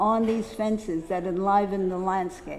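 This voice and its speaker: With an American accent, the speaker talks at a fairly slow pace amid audible room echo and noticeable background noise. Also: woman. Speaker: poster dealer giving a symposium talk. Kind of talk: lecture.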